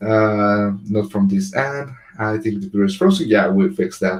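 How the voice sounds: At a moderate pace, a man speaks with a fairly low pitch and ordinary pitch variation.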